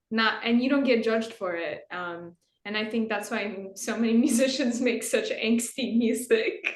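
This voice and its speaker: Audible room echo surrounds this voice. It moves at a moderate pace with ordinary pitch variation. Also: woman. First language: not English. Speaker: guitarist in a metal band. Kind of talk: interview.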